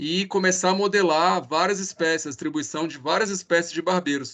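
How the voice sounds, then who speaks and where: Against a quiet background, a man talks in a high, bright, sharp voice with ordinary pitch variation. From Brazil. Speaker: researcher. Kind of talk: speaker introduction.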